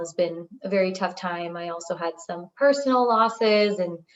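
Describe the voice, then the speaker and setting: A woman with a medium pitch speaks at a moderate pace with ordinary pitch variation in an unremarkable speaking voice. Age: 30s. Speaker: data scientist, coaching client. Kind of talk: testimony interview.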